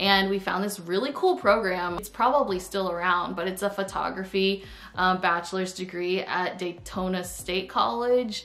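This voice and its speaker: Speaking at a moderate pace with hardly any pauses, a woman with an American accent uses ordinary pitch variation. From Florida. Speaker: YouTuber. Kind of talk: casual vlog storytime. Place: home room. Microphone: camera far.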